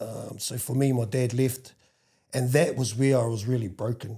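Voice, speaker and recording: A man speaks at a medium pitch and a moderate pace with a New Zealand accent. His dark, mellow voice is somewhat breathy, with fairly even intonation, in a very clean recording with a silent background. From New Zealand, Wellington. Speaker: podcast guest sharing life story. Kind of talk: casual interview. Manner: halting.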